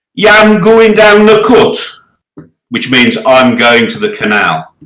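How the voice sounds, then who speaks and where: A man with a Berkshire accent speaks at a very slow pace. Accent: sounds like a Berkshire man. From English Midlands, Birmingham. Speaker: board game player. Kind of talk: casual chat. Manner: halting.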